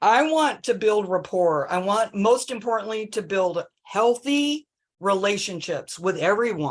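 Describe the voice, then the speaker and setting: Speaking at a fairly slow pace, a woman uses a plain, everyday voice with medium pitch. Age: 60s. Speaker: homeless services worker. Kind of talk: public consultation meeting.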